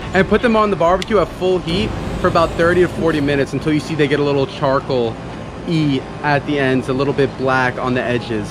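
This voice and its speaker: Noticeable background noise sits under speech at a fairly quick pace with ordinary pitch variation. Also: man. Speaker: vlogger host. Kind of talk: casual vlog chat. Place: garden. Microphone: phone near.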